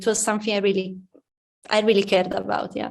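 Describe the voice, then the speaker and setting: A woman with an Italian accent. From Italy, near Udine. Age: young. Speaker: pianist. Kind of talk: interview. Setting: music academy.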